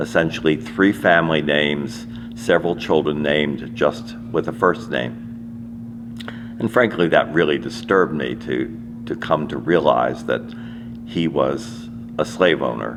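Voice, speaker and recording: With an American accent, a man talks at a fairly slow pace in a very deep, low pitch, using very wide pitch swings and long, frequent pauses over noticeable background noise. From US, Washington DC. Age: 80s+. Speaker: interviewee sharing family history. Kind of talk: personal testimony. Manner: halting with repetitions.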